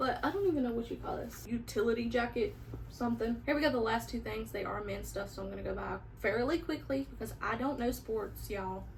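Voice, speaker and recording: A woman talks at a fairly quick pace. Noticeable background noise and audible room echo are present. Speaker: vlogger and vintage reseller. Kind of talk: casual haul video. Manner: animated.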